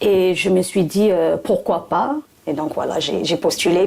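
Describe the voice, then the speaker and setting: A woman talks at a very slow pace with a slight English accent over noticeable background noise. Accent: slight English-speaking accent in French. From Pacific, raised in Fiji and Australia. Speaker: trainee delegate, former interpreter. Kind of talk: career interview testimony. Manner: hesitant, many fillers.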